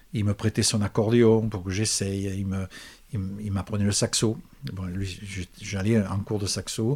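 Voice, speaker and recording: Long, frequent pauses from a man with a fairly low pitch and fairly even intonation. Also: fairly slow pace, very clean recording, silent background. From Provence, France. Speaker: musician and composer. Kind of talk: interview. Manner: halting, repeats words.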